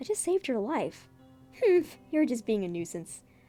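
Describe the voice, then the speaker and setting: A woman's voice makes very wide pitch swings. Music plays in the background. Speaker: webcomic artist. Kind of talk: dramatic comic reading with commentary.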